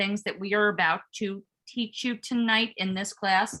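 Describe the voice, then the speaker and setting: A loud woman's voice, fairly high in pitch, with a bright, sharp tone and ordinary pitch variation. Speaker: workshop MC. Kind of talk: online workshop presentation. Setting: video call. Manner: animated.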